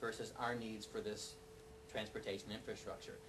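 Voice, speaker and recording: Medium-pitched male speech, with audible room echo and noticeable background noise behind it. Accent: American. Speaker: neighborhood preservation advocate. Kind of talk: panel presentation. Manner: fast.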